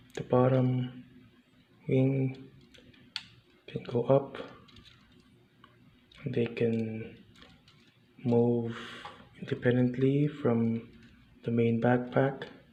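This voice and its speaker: Over noticeable background noise, a man at medium pitch speaks in a monotone, flat voice at a very slow pace with long, frequent pauses. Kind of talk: casual talk to camera, model kit review. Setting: indoors, recorded quietly early in the morning. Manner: whispered, soft-spoken.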